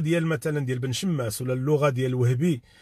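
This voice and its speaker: A man speaks at a fairly quick pace. The sound is dry with no echo and a quiet background. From Morocco. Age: 40s. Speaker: YouTube live streamer. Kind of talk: live stream commentary. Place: car. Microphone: phone near.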